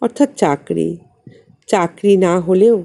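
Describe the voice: A woman's dark, mellow tone with vocal fry and lively intonation at a slow pace.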